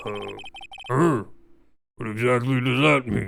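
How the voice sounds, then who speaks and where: Put-on character voice from a man at medium pitch, lively intonation, fairly slow pace. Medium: game stream. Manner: formal, hesitant.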